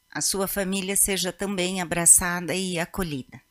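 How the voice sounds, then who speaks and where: Against a quiet background, a woman speaks at a fairly slow pace. Her intonation stays fairly even. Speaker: working group coordinator, official. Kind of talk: formal institutional. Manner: formal. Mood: warm, consoling. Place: office. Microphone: podium.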